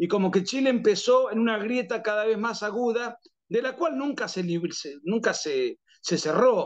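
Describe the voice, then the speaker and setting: With a strong Argentine accent, a man speaks at a moderate pace in a high pitch with lively intonation. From Argentina. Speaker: political writer and analyst. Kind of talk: interview. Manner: frequent fillers and restarts.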